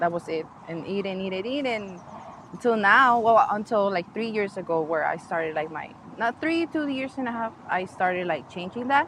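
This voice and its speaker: A woman talks at a moderate pace in a medium-pitched voice with lively intonation. Noticeable background noise runs under her speech. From Mexico (Ensenada, Baja California). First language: Spanish. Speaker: podcast guest sharing weight loss story. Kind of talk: casual interview. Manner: halting.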